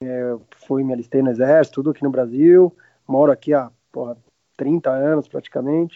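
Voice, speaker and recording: A man at a medium pitch and a moderate pace. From Argentina, Martínez near Buenos Aires, moved to Brazil at 10. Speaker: restaurant owner and grill cook. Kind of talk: casual interview.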